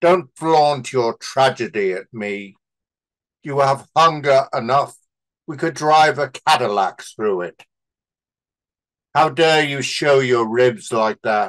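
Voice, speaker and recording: Fairly high male speech with lively intonation, a very slow pace and long, frequent pauses. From England, Liverpool. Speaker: poet. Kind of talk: poetry reading.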